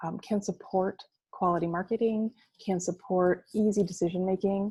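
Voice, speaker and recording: The voice has a dark, mellow tone, sounds somewhat breathy, and stays monotone and flat. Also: woman. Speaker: marketing agency presenter. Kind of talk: webinar presentation. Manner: fast.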